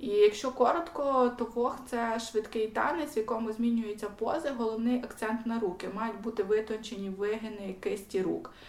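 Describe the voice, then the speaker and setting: Against noticeable background noise, a woman with a western Ukrainian accent talks at a moderate pace and a fairly high pitch, with ordinary pitch variation. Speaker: podcast co-host. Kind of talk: casual chat.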